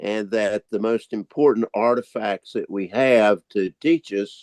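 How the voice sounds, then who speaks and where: A man with a fairly low pitch and a Southern US accent speaks at a fairly slow pace in a dry, close sound with no echo. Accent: Southern American. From US South, North Carolina (Winston-Salem). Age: 80s+. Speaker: historian. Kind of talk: guest talk on video meeting.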